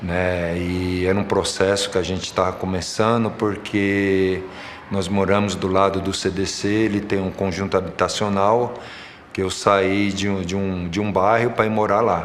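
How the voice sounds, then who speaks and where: A man speaks at a fairly slow pace in a fairly low pitch, his intonation flat and monotone. Audible room echo and noticeable background noise surround his voice. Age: 60s. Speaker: football coach and referee. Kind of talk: documentary interview testimony.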